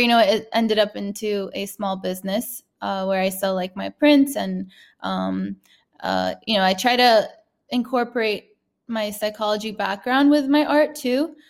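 In a very clean recording with a silent background, a woman with a fairly high pitch speaks at a moderate pace in an unremarkable speaking voice. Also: ordinary pitch variation. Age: 30s. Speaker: artist. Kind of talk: interview.

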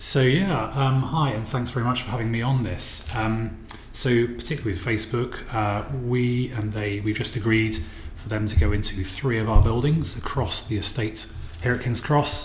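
There's noticeable noise in the background. A man talks at a moderate pace. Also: medium pitch for a man, ordinary pitch variation. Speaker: property developer. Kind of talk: interview. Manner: hesitant, many fillers.

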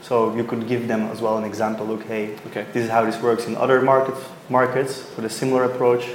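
A man at a very fast pace, medium in pitch and monotone, flat in intonation, amid noticeable background noise and audible room echo. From Belgium. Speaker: startup founder. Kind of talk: interview. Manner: halting.

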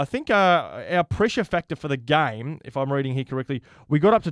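A man's fairly high-pitched voice on a very clean recording with a silent background. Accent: Australian. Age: 30s. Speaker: sports podcast host. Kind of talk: casual chat.

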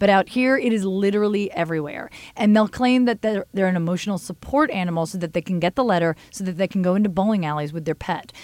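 In a very clean recording with a silent background and a dry, close sound with no echo, a woman with an American accent talks very fast at a medium pitch, ordinary pitch variation, and hardly any pauses. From US East Coast. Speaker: podcast host. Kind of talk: casual chat.

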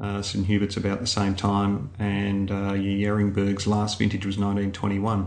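Speaking with an Australian accent, a man moves at a fairly slow pace in a flat monotone, with hardly any pauses and noticeable background noise. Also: fairly low pitch for a man. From Melbourne, Australia. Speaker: winemaker. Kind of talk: interview.

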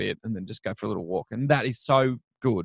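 A man's medium-pitched voice with an Australian accent and ordinary pitch variation, dry and close with no echo. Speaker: children's TV presenter. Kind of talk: casual chat. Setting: remote call.

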